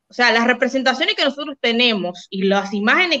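Lively intonation marks a woman's fairly high, unremarkable speaking voice. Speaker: podcast co-host. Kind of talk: casual livestream chat.

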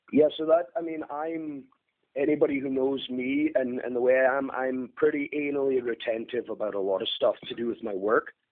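A man with a northeast Scottish accent talks at a moderate pace, his pitch rising and falling in an ordinary way. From northeast Scotland, near Aberdeen. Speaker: HVAC technician. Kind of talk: casual interview.

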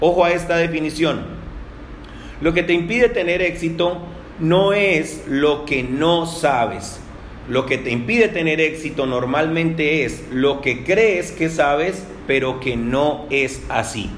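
The voice moves at a very slow pace with ordinary pitch variation, accompanied by noticeable background noise and audible room echo. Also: man, fairly high pitch for a man. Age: 40s. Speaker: network marketing entrepreneur and podcaster. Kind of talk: solo podcast monologue. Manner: hesitant with many fillers and repetitions.

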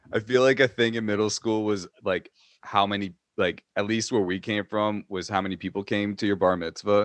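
With an ordinary speaking voice, a man talks at a moderate pace and fairly low pitch with fairly even intonation, the sound dry and close with no echo and the background quiet. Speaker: co-host. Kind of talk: casual comedic chat.

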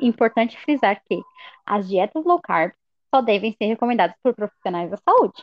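At a moderate pace, a woman talks in a plain, everyday voice, with lively intonation and a fairly high pitch. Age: 20s. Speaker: university student. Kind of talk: scripted educational podcast.

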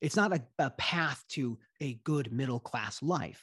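Lively in intonation, a man speaks at a fairly high pitch. His voice is somewhat breathy, and the sound is dry and close with no echo. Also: very clean recording, silent background. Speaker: lawyer. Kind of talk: casual interview.

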